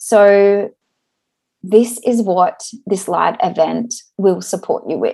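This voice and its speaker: A woman speaks at a very slow pace. Her speech is broken by long, frequent pauses. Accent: Australian. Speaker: podcast host, occupational therapist. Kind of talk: solo podcast monologue, event promotion.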